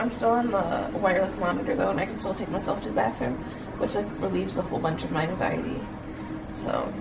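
Amid loud background noise, a woman speaks at a very fast pace. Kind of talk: casual vlog chat. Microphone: phone near.

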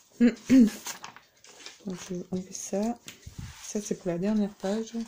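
A soft-spoken woman talks with fairly even intonation over light background noise. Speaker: crafting YouTuber. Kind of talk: tutorial. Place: home room. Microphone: camera far.

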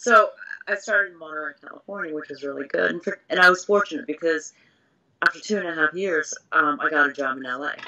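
The speaker has an American accent and a fairly quick pace. The pitch variation is ordinary. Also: woman, fairly low pitch for a woman, big swings in loudness. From grew up partly in Singapore, then US from age seven (New York, Massachusetts). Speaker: TV news anchor. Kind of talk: casual interview. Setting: video call. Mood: relaxed, laughing at times.

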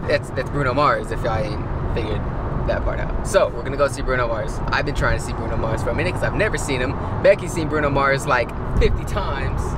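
Against loud background noise, a man talks very fast in a dry sound with no echo. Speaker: vlogger driving. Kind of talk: casual vlog chat. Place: car.

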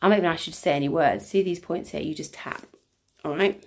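A woman with a fairly low pitch speaks with ordinary pitch variation. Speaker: EFT tapping coach and workshop leader. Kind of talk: casual live stream talk. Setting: live video stream. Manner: chatty, rambling with many fillers; warm and effusive. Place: home room. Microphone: phone near.

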